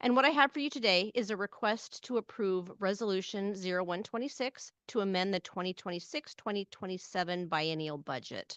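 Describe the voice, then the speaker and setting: The recording is dry and close with no echo as a woman speaks at a fairly quick pace and medium pitch, with lively intonation and hardly any pauses. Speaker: transit agency finance officer. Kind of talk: budget presentation. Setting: hybrid public board meeting. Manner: usually loud.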